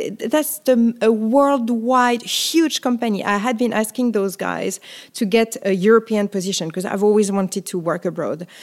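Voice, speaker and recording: With a French accent, a woman talks at a moderate pace and a fairly high pitch. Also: ordinary pitch variation. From France, Paris. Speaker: photographer. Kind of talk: interview.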